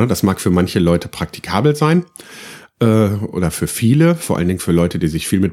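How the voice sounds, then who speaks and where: A man's fairly low, dark, mellow voice at a fairly quick pace with lively intonation, in a very clean recording with a silent background. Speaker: podcaster. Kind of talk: casual monologue. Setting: home recording room. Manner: hesitant, many fillers.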